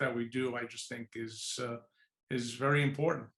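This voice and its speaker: A man with a New York accent speaks with fairly even intonation. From New York City, Lower East Side. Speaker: executive search firm founder. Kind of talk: podcast interview.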